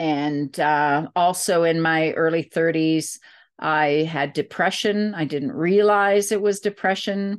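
Over a quiet background, a woman speaks at a very slow pace with very even loudness. Her fairly low pitch shows ordinary variation. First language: not English. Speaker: psychotherapist and author. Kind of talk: interview monologue.

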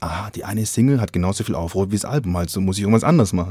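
Speaking very fast, a man has a dark, mellow tone. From Swabia, southern Germany. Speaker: podcast host. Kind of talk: casual interview chat. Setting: video call.

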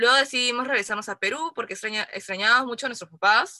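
In a dry, close sound with no echo, a woman with a bright, sharp tone speaks at a fairly quick pace with ordinary pitch variation. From Peru. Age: 20s. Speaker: podcast co-host. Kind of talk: casual chat.

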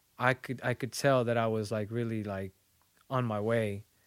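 A man with a Spanish accent at a fairly slow pace. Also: dry, close sound with no echo. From Mexico, small town. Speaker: visual artist. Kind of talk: casual interview chat.

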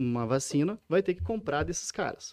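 Fairly high in pitch yet dark and mellow in tone, a man talks at a fairly quick pace. The sound is dry and close with no echo, over a quiet background. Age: 30s. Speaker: PhD researcher. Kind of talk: casual interview. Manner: halting, frequent repetitions.

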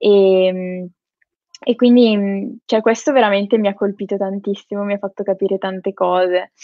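This woman has a plain, everyday voice at medium pitch. She speaks at a moderate pace. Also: fairly even intonation. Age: 20s. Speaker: psychology student and social media creator. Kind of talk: interview.

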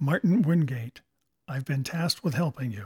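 A put-on character voice delivers its lines at a moderate pace with lively intonation. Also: man. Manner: clipped, formal.

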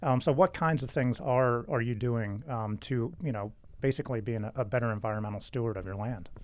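In an ordinary speaking voice, a man talks at a medium pitch and a fairly quick pace with ordinary pitch variation against a quiet background. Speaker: trade association podcast host. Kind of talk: podcast interview.

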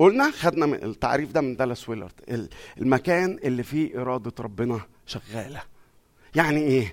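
With an ordinary speaking voice, a man talks at a moderate pace in a medium pitch with lively intonation. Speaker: pastor. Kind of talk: sermon.

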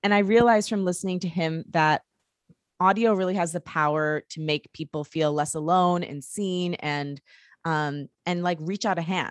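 Over a quiet background with a dry, close sound and no echo, a woman with an American accent uses a normal speaking voice, fairly low in pitch with ordinary variation, at a moderate pace. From Detroit, Michigan. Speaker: podcast producer and indie musician. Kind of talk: casual interview chat.

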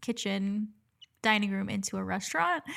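In a plain, everyday voice, a woman with an American accent talks at a moderate pace and a medium pitch on a very clean recording with a silent background. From Dominican family, US. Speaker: nurse, podcast co-host. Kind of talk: casual chat.

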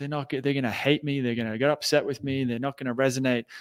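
A man with an Australian accent, medium pitch, dry, close sound with no echo, very clean recording and silent background. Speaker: entrepreneur and anxiety coach. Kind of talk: interview.

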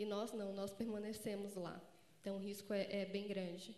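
A woman with a fairly high pitch and fairly even intonation talks at a moderate pace while noticeable background noise runs underneath. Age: 20s. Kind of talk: conference panel talk.

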